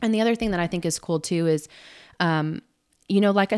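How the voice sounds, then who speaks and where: Fairly low in pitch with fairly even intonation, a woman talks in a plain, everyday voice, the sound dry and close with no echo. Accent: American. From Southern California. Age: 30s. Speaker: semi-pro soccer player. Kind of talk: casual interview. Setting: at her house.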